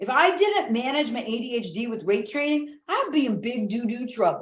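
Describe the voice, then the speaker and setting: A woman speaks at a high pitch. Her tone is animated. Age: 50s. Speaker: high performance coach. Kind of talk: casual chat.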